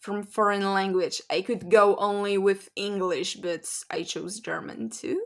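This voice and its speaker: The speaker has a Polish accent. The recording is very clean, with a silent background. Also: woman. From Poland. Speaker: language learning vlogger. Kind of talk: casual vlog talk.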